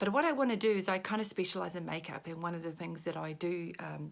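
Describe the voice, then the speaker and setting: This is a woman speaking. She talks with a New Zealand accent. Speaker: makeup consultant. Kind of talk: makeup tutorial. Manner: casual.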